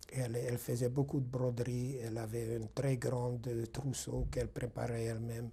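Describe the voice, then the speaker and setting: A somewhat breathy man's voice, dark and mellow in tone, medium in pitch, with monotone, flat intonation, a moderate pace and hardly any pauses. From Hungary. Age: 60s. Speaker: Holocaust survivor. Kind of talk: testimony interview. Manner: halting, with hesitations.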